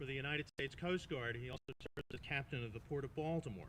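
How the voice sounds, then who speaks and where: In a dry, close sound with no echo, a man with a Long Island accent speaks in a bright, sharp tone. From Long Island, New York (Smithtown). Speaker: master of ceremonies. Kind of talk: ceremony introduction.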